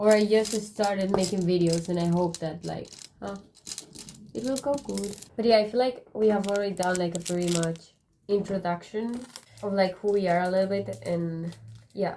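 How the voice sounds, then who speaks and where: Speaking with a Spanish accent, a woman uses a medium pitch and a dark, mellow tone, with ordinary pitch variation and long, frequent pauses. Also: moderate pace. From Spain. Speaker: YouTuber. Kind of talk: casual chat.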